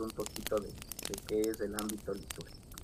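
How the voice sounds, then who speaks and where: A man speaks with noticeable background noise. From Riobamba, Ecuador. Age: 20s. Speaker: game contest winner. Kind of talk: casual interview chat.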